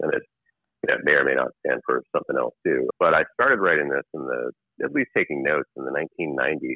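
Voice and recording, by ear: In an American accent, a man with an extremely low voice talks at a fast pace, the sound dry and close with no echo. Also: lively intonation.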